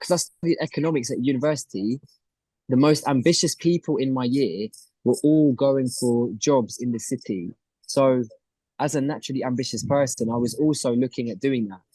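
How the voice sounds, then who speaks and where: With a London accent, a man speaks fairly quickly at a medium pitch in a dark, mellow tone with ordinary pitch variation, recorded dry and close with no echo. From North London, England. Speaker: reality TV contestant and entrepreneur. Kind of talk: interview.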